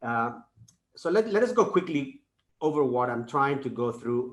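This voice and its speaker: At a fairly slow pace, a man speaks with lively intonation. His pitch is medium. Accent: Spanish. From Spain. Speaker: professor. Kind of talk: lecture. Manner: halting, many fillers and repeats.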